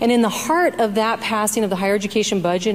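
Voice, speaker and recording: Over noticeable background noise, a soft-spoken woman talks at a moderate pace. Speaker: state senator. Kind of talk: legislative floor debate. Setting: senate chamber floor.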